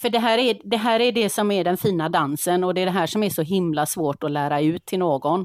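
A woman with an unremarkable speaking voice talks at a moderate pace in a fairly low pitch with ordinary pitch variation. The sound is dry and close with no echo, on a very clean recording with a silent background. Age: 50s. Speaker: veterinary nurse and dog behaviour consultant. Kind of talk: casual chat.

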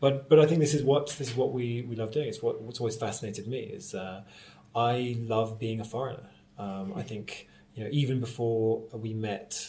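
With a dark, mellow tone, a man's voice comes out somewhat breathy. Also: medium pitch for a man, ordinary pitch variation, moderate pace, big swings in loudness. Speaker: theatre director and actor. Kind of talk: conversational interview.

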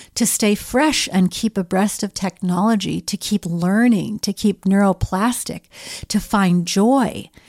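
An ordinary speaking voice moves at a fairly slow pace with fairly even intonation, dry and close with no echo, on a very clean recording with a silent background. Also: woman. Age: 50s. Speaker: podcast host. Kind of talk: interview.

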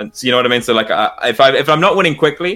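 A man with a British accent, lively intonation and a very fast pace. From UK. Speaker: content creator. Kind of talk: casual chat.

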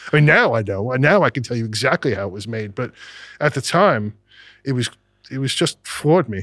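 A man's medium-pitched voice in a New York accent, fairly quick with lively intonation, broken by long, frequent pauses. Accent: New York American. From US Northeast, Brooklyn and Long Island, New York. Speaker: music producer and sound engineer. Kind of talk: casual chat.

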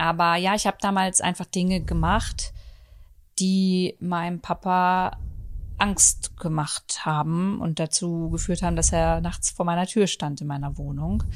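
Speaking fairly slowly, a woman is heard on a very clean recording against a silent background. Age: 30s. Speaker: podcast host. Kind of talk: casual chat. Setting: at home on the sofa.

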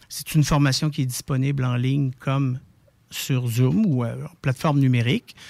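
A plain, everyday voice at a moderate pace. The recording is very clean and dry, close-miked with no echo and a silent background. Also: man. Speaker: palliative care volunteer organization spokesperson. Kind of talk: interview.

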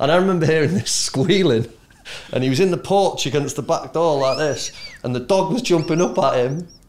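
A fairly high-pitched male voice at a fairly quick pace, with ordinary pitch variation and noticeable background noise. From England, Manchester area. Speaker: former footballer. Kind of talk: casual chat.

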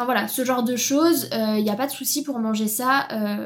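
A somewhat breathy woman's voice with ordinary pitch variation, at a moderate pace. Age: 20s. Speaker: nutrition consultant. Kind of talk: interview.

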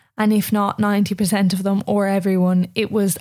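In an Irish accent, a woman speaks at medium pitch with a dark, mellow tone and monotone, flat intonation. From Ireland. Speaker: podcast host. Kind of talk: solo monologue.

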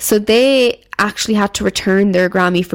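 This woman has an Irish accent and a medium-pitched voice. She speaks at a moderate pace with ordinary pitch variation. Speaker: podcast host. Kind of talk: casual solo commentary.

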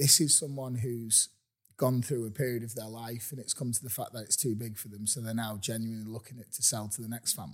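A man talks at a very fast pace with fairly even intonation and a somewhat breathy sound. The recording is very clean, with a silent background. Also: medium pitch for a man. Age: 40s. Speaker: real estate agent. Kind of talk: casual chat. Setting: inside a house for sale.

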